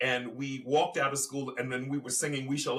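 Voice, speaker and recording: A man's medium-pitched voice with an American accent, fairly quick and fairly even in intonation, over noticeable background noise. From Virginia and Baltimore, US Mid-Atlantic. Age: 60s. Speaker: activist and storyteller. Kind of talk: interview. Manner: halting.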